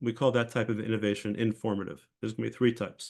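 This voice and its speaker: The man's pace is very fast, and the background stays quiet. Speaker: professor. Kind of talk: lecture. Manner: halting.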